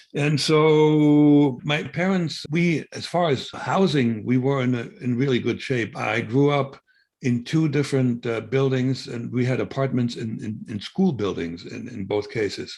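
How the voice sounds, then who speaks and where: A man with a German accent speaks at a fairly slow pace with ordinary pitch variation and hardly any pauses. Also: medium pitch for a man. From East Germany. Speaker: former spy. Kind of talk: interview. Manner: halting.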